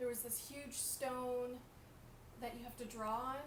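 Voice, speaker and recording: With audible room echo and noticeable background noise, a woman talks at a moderate pace in a fairly high pitch. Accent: Canadian. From Canada. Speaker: artist. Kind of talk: live art show presentation. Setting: live stream. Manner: trying to speak loud; casual with many fillers.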